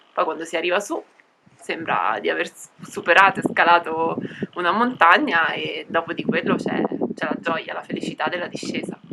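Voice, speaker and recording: Noticeable background noise sits behind a woman with a fairly low pitch. She speaks at a moderate pace with lively intonation. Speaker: cycle traveller. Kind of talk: interview. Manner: long-winded.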